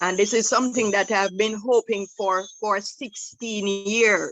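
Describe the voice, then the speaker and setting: A woman's fairly high voice with ordinary pitch variation, music in the background. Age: 70s. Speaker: entrepreneur, sauce maker. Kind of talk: forum question.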